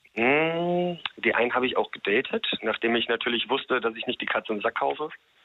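A man with a plain, everyday voice speaks at a fairly quick pace with ordinary pitch variation. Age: 30s. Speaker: radio call-in listener. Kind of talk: casual phone chat.

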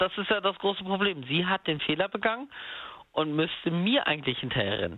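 Speaking at a fairly quick pace, a man with a high pitch uses lively intonation while keeping his loudness very even. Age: 30s. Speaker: caller. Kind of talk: phone-in call about being cheated on. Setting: phone call.

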